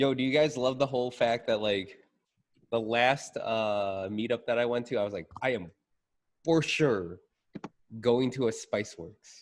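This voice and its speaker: Animated in tone, a man at a medium pitch talks fairly slowly with long, frequent pauses. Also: ordinary pitch variation. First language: not English. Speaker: IT professional in local government. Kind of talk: casual chat.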